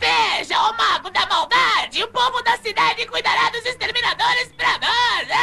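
An extremely high-pitched, put-on character voice comes through over clear background noise. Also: moderate pace. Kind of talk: comic overacting. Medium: fan dub. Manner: sycophantic, excitable, giggly.

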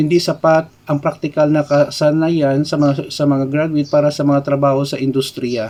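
A man with a fairly high pitch and a dark, mellow tone speaks at a fairly slow pace in a monotone, flat intonation. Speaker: YouTuber and IT lecturer. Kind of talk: educational vlog commentary. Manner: casual, conversational Taglish.

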